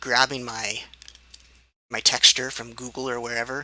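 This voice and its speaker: A man speaks at a moderate pace and a medium pitch, his intonation monotone and flat, with noticeable background noise. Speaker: game development hobbyist. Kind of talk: tutorial. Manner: halting, many fillers.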